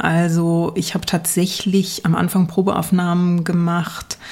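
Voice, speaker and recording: Somewhat breathy, this woman's voice sits fairly low. She speaks very slowly. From East Germany, village. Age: 30s. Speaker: journalist and history podcaster. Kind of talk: casual interview. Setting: remote call from the USA.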